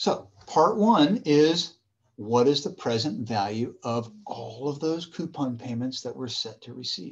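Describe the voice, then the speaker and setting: A man with an American accent speaks very slowly and somewhat breathily. His pitch swings very widely and his loudness varies a lot. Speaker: university professor. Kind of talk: lecture. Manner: casual, conversational.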